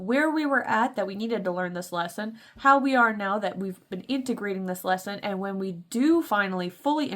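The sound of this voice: Just an unforced reading voice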